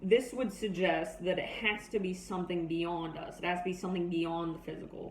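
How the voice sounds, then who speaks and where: Fairly even intonation carries a moderate pace, with noticeable background noise throughout. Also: woman. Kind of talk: persuasive speech. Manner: monotone.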